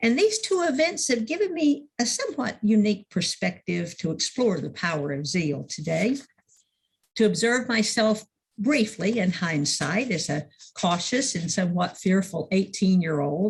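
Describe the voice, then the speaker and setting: A woman's somewhat breathy voice sits at medium pitch, swinging very widely in pitch at a moderate pace. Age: 70s. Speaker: minister. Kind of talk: sermon.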